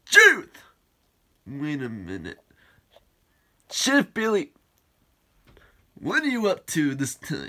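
Here is a cartoonish character voice at a middle pitch. It moves at a very slow pace with long, frequent pauses. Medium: puppet show. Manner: suspicious, then dismayed.

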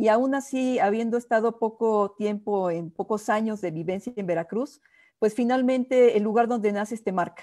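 Against a quiet background, a woman with a dark, mellow tone and fairly high pitch speaks at a moderate pace with ordinary pitch variation. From Mexico City. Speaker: diplomat. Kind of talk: interview. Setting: video call. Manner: halting. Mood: warm, smiling, reminiscing. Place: home room. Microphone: earbuds.

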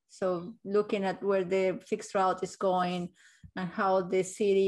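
A woman talks fairly slowly, with a quiet background behind her. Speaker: meeting facilitator, transport consultant; meeting facilitator. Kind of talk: virtual public meeting presentation. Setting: video call. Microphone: video call.

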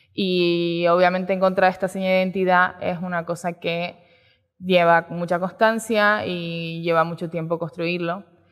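Against a quiet background, a woman speaks with a fairly low pitch. Her pace is fairly slow and her intonation is monotone and flat. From Canary Islands. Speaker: photographer and art director; speaker. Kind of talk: talk at a design event. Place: stage. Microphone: headset.

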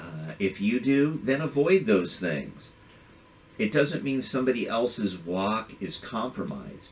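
This man speaks at a fairly slow pace with vocal fry, and his pitch swings very widely. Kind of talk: video rant. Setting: video. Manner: earnest, impassioned; conversational. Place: home room.

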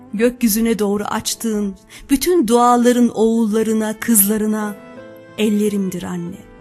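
Over music in the background, a woman talks very slowly in a fairly high voice with ordinary pitch variation. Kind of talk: poetry reading.

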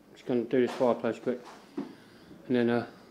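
A man with medium pitch and a dark, mellow tone speaks at a moderate pace with little pitch movement.

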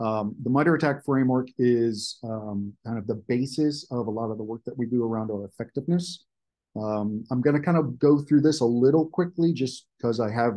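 With a quiet background, a man's moderate pace and ordinary pitch variation come through. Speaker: presenter. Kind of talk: webinar presentation. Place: home room. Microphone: webcam.

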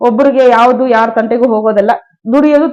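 This woman has a high voice with a dark, mellow tone and ordinary pitch variation. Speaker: village council member and local politician. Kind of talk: interview.

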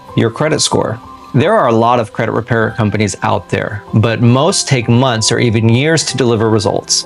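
A man speaks at a moderate pace over faint background music. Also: ordinary pitch variation. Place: home room.

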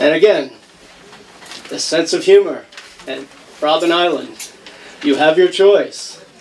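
Light background noise sits behind a man with a high voice and ordinary pitch variation. He speaks at a fairly slow pace, with long, frequent pauses. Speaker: criminal justice professor. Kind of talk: slide presentation. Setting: event hall with audience, microphone. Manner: casual, joking. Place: hall.

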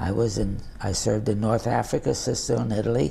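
Vocal fry marks this man's speech. His tone is dark and mellow. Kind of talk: interview answer. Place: home room.

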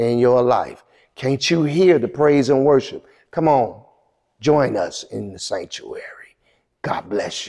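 A man's fairly slow speech with long, frequent pauses and big swings in loudness, over a quiet background. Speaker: senior pastor. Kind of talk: welcome announcement. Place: church. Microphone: lapel.

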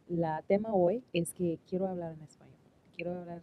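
A woman's dark, mellow voice sits at a fairly low pitch with fairly even intonation, in dry sound with no echo and light background noise. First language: English (speaking Spanish). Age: 40s. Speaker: YouTuber; podcaster practicing Spanish. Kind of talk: casual monologue; casual podcast chat. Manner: halting, many fillers. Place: home room.

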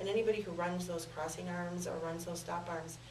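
In a room with audible echo and light background noise, a woman with a fairly low pitch talks fairly quickly in a monotone, flat intonation. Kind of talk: interview answer. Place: studio.

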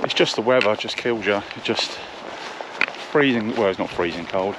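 Noticeable background noise sits under a man speaking at a fairly slow pace, the sound dry with no echo. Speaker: solo hiker vlogger. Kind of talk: casual vlog chat. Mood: wry, weather-weary. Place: open country. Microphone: phone near.

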